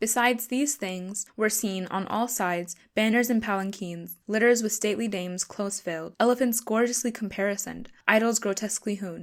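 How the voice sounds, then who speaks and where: A woman's medium-pitched voice, a plain, everyday voice, fairly even in intonation at a moderate pace. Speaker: narrator. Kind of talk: audiobook reading.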